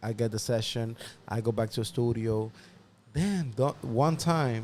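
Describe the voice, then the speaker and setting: A man with a Spanish accent and medium pitch speaks at a fairly slow pace. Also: ordinary pitch variation, very clean recording, silent background. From Dominican Republic, raised partly in the Bronx. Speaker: music producer. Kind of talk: interview storytelling. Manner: casual, halting with repetitions.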